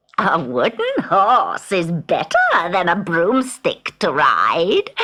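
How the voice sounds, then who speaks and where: A put-on character voice, fairly high in pitch and very slow. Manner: cackling.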